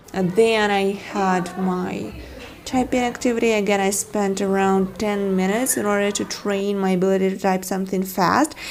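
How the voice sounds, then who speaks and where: In a room with audible echo and noticeable background noise, a woman with a Ukrainian accent speaks at medium pitch and a moderate pace with fairly even intonation. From Ukraine. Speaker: vlogger. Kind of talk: scripted narration.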